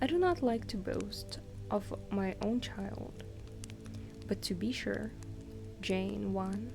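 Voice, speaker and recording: A soft-spoken woman whispers at a very slow pace. Music sits in the background. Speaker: ASMR streamer / virtual streamer. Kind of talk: soft-spoken ASMR book reading for sleep. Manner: soft-spoken, whispery.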